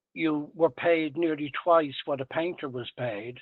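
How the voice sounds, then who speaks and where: A man with a Dublin accent and a fairly high pitch. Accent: Dublin Irish. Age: 80s+. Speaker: retired tradesman and salesman. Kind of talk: interview. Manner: hesitant fillers.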